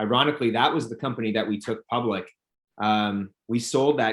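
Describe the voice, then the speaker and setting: Here a man with a normal speaking voice talks at a fairly quick pace and a fairly low pitch. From Canada, Toronto. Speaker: company founder and CEO. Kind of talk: interview. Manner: many fillers and repetitions.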